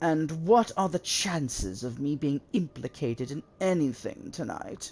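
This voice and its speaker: A put-on character voice at middle pitch delivers its lines at a moderate pace. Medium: game stream. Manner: condescending.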